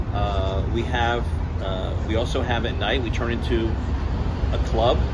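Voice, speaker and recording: A man speaks at a fairly slow pace. Loud background noise runs behind him. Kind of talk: interview answer. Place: bar. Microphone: phone near.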